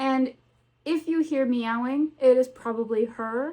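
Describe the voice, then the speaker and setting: Against a quiet background, a woman with a slight Southern US accent speaks at a fairly slow pace, high in pitch with ordinary variation. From US South, North Carolina. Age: 20s. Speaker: booktuber. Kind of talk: casual vlog chat. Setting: home with cats.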